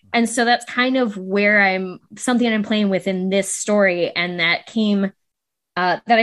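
A woman with an unremarkable speaking voice, medium pitch, fairly even intonation and very even loudness, at a moderate pace over a quiet background. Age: 30s. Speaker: novelist. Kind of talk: casual chat.

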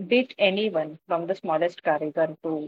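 Fairly slow speech in an Indian accent. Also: woman. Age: 40s. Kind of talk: interview.

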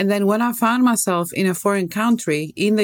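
A woman with a Greek accent talks at a moderate pace. Her medium pitch moves with lively intonation. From Greece. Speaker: toxicologist and wellness coach. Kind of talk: interview conversation. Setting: video call. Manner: animated.

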